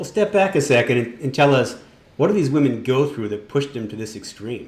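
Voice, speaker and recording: Somewhat breathy and fairly quick, a man speaks at a medium pitch with lively intonation. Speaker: magazine editor in chief. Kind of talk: podcast interview host.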